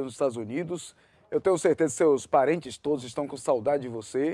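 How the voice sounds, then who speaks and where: A man's fairly high-pitched voice with a dark, mellow tone at a fairly quick pace. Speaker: TV news host. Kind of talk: live interview. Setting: studio.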